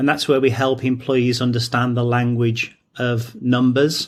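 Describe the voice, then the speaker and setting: A man speaks in an English accent. His intonation is flat and monotone. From England, near Stratford-upon-Avon. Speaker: training company founder. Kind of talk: interview.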